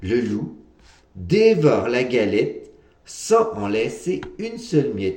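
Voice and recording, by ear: This clip captures someone reading aloud in a natural voice.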